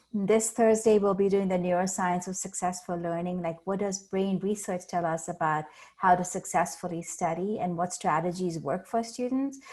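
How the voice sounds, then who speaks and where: A woman speaks with an Indian accent and hardly any pauses. Her pitch shows ordinary variation. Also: medium pitch for a woman, moderate pace. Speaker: learning center staff. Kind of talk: presentation. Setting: video call.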